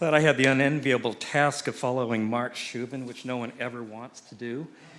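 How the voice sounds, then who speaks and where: A man with an unremarkable speaking voice talks at a moderate pace in fairly even intonation. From US South, Chattanooga, Tennessee. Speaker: cinematographer and producer. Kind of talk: conference presentation.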